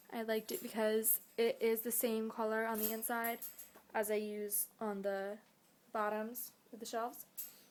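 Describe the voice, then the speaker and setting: A woman's fairly high voice with monotone, flat intonation at a fairly slow pace. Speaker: pet rat keeper. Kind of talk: casual talk to camera, cage tour.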